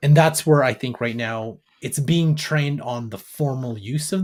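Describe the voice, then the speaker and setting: In a Canadian accent, a man with a fairly high, somewhat breathy voice talks at a fairly slow pace on a very clean recording with a silent background. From Canada, Alberta. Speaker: AI business educator. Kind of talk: interview.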